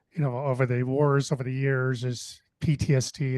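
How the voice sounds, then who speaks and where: Speaking with an American accent, a man keeps a medium pitch and fairly even intonation. The background is quiet. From US Pacific Northwest. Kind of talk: panel discussion. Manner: halting, many fillers.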